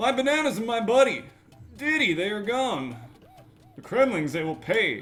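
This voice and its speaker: A man uses a put-on character voice with a high pitch at a moderate pace. He takes long, frequent pauses while faint music plays in the background. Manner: cheesy, exaggerated 90s show inflection.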